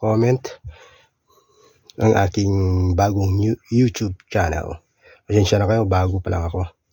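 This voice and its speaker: Somewhat breathy, a man speaks. His tone is dark and mellow. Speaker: vlogger, former overseas worker. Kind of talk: casual vlog. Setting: old family house. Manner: casual, halting.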